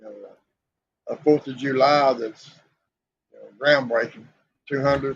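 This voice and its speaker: Speaking with a Southern US accent, a man delivers flat, monotone intonation at a fairly high pitch and a moderate pace, broken by long, frequent pauses and big swings in loudness. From US South (Southeast Tennessee). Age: 60s. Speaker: podcast co-host. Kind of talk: casual chat.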